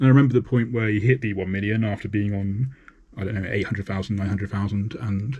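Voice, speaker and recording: Somewhat breathy, a man speaks in a fairly low pitch with ordinary pitch variation. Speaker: artist streaming painting live. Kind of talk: casual live-stream talk while painting. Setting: live stream. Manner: halting, repeats words.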